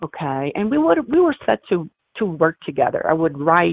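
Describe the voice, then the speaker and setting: Speaking at a moderate pace with an Italian accent, a woman has a very deep, low pitch and ordinary pitch variation. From Italy, Milan. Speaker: humanitarian and photographer. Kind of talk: interview.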